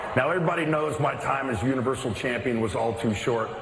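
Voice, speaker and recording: A man rattles off his words at a very fast pace while noticeable background noise carries on around him. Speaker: wrestling radio co-host. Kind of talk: casual chat. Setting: studio. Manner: relaxed, conversational.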